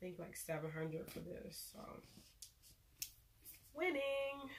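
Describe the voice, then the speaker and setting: With lively intonation, a woman speaks amid audible room echo. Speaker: beauty vlogger. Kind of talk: unboxing video. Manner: casual, chatty.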